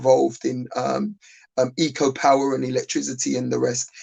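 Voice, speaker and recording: A man speaks with a South London accent. His pace is moderate. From South London (Lewisham). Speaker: business owner. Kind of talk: panel discussion. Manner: halting, many fillers and repeats.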